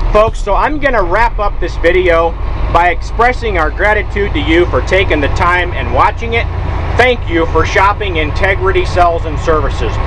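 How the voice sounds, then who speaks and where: Noticeable background noise accompanies a man's speech, which moves at a moderate pace. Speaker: truck salesman. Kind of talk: hard-sell closing pitch urging viewers to phone now. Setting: outdoors walkaround beside a running truck. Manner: pushy, emphatic pitchman pressing urgency and scarcity; repetitive folksy address, peppering lines with folks. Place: car. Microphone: phone near.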